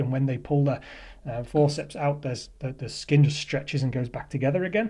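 A man's very fast, somewhat breathy delivery, fairly high in pitch with a dark, mellow tone. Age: 40s. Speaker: caller. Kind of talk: voicemail testimony.

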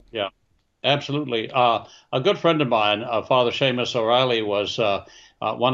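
Here is a normal speaking voice with an American accent. The pace is fairly quick and the intonation fairly even. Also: man. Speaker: China expert. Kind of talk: interview answers, serious political commentary.

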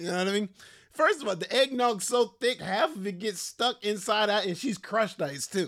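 Lively intonation colors the speech of a man with an American accent. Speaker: podcast host. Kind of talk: angry comedic rant, casual. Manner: animated, indignant, rapid-fire; mock-outraged, exaggerated.

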